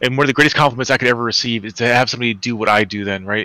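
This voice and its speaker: Bright and sharp in tone, a man's medium-pitched voice races along at a very fast pace. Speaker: spiritual healer. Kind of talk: casual chat. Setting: live stream call.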